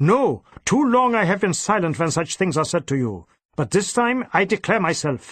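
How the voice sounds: Using a put-on character voice, a man speaks high and fairly bright, with a slightly husky edge, big pitch swings and a moderate pace.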